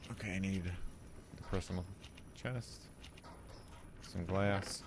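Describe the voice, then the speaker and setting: In a room with audible echo, a man with an American accent speaks very slowly, his very deep, low voice full of lively intonation. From US Midwest. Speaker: gaming streamer. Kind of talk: live gameplay commentary. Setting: live stream. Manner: casual, with many fillers.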